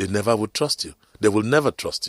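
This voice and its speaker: A man with a Nigerian accent speaks with lively intonation on a very clean recording with a silent background and a dry, close sound with no echo. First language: Nigerian language. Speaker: radio talk show host. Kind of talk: motivational radio talk. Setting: radio studio.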